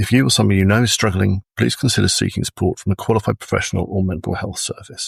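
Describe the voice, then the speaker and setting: This man talks very fast in a fairly low, somewhat breathy voice with ordinary pitch variation and a dry, close sound with no echo. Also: very clean recording, silent background. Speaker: podcast host. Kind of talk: content warning read.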